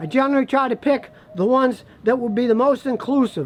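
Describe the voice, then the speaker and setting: At a moderate pace, a man talks at an extremely high pitch. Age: 60s. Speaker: auto mechanic. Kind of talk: casual talk to camera. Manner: animated.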